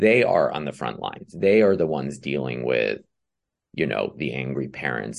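At a moderate pace, a man speaks with a very deep, low pitch, vocal fry, and ordinary pitch variation. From Iran, then France and Canada. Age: 40s. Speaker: author and screenwriter. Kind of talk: casual chat.

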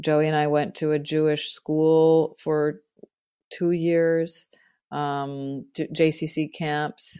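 Against a quiet background, a woman speaks at a very slow pace with a very deep, low pitch. Her tone is dark and mellow, and her intonation is monotone and flat. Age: 50s. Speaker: writer and composer. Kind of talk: casual chat. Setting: remote recording. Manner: halting.

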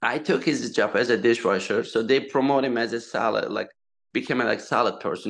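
Over a quiet background, a man with a Turkish accent speaks at a fairly quick pace. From eastern Turkey. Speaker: restaurateur. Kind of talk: casual interview chat. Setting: video or phone call. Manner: halting, non-fluent English.

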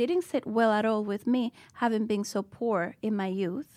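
On a very clean recording with a silent background, the speaker goes at a fairly slow pace with fairly even intonation. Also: woman. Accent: Spanish. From Dominican Republic. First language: Spanish. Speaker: school founder and educator. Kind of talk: interview. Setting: studio.

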